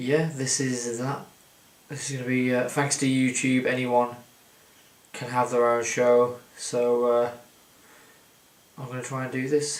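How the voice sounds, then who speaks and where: Mumbling from a man with a medium pitch, fairly slow and monotone, with long, frequent pauses and noticeable background noise. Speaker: wrestling commentator. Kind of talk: casual talk to camera. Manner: rambling, mumbling.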